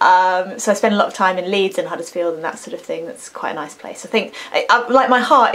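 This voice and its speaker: A woman's medium-pitched voice with an English accent, very fast delivery, ordinary pitch variation and noticeable background noise. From England. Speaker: singer and vocal coach. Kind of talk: casual talk to camera. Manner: chatty, rambling.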